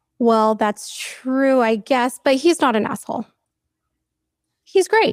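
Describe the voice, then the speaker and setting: With lively intonation and a high pitch, a woman talks at a very slow pace in a dry, close sound with no echo. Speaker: interviewee in a clip about finances. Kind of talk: interview.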